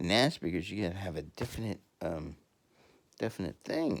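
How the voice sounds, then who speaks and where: A man speaks at a fairly quick pace in a very deep, low voice with lively intonation. The recording is very clean, with a silent background. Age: 50s. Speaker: podcaster. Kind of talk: casual monologue. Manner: halting.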